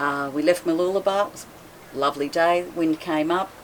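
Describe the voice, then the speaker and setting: Her pace is moderate. The woman keeps a fairly even intonation. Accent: Australian. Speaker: boat owner, cruising sailor. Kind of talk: casual interview chat.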